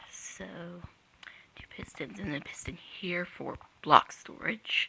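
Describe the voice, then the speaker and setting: The whispered words come very slowly. Behind them is noticeable background noise. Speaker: Minecraft redstone builder. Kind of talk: game tutorial narration. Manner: hesitant, casual.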